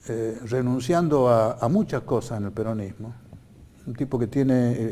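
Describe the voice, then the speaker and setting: A man at a medium pitch with a dark, mellow tone. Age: 80s+. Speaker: political candidate. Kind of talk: TV interview. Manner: halting.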